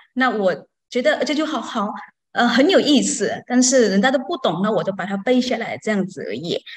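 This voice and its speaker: Lively intonation and a somewhat breathy delivery, with a non-native accent against a quiet background. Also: woman. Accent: foreign-accented Mandarin. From outside Taiwan. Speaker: Buddhist student. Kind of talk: testimony. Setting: online call. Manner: halting. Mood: cheerful, a little shy. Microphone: video call.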